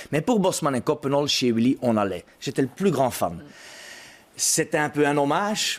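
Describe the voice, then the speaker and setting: Lively intonation marks this man's fairly high voice, which moves at a fairly slow pace with very even loudness. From Brussels, Belgium. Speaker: actor and playwright. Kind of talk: interview.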